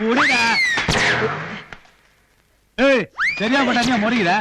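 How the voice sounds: In a put-on character voice, the speaker goes at a slow pace with a bright, sharp tone, a slightly husky edge and fairly even intonation. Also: man, extremely high pitch for a man.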